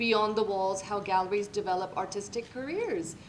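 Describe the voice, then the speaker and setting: A woman's voice with ordinary pitch variation comes through audible room echo and noticeable background noise. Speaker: event moderator. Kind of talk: closing remarks. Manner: loud.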